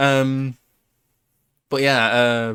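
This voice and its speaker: A man with a British accent, medium in pitch, bright and sharp in tone, dry and close with no echo, on a very clean recording with a silent background. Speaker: podcast host and streamer. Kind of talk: casual chat. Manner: animated.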